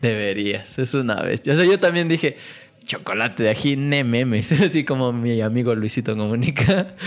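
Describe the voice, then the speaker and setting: With lively intonation and a medium pitch, a man talks at a moderate pace in a normal speaking voice. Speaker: podcast host. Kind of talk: casual chat.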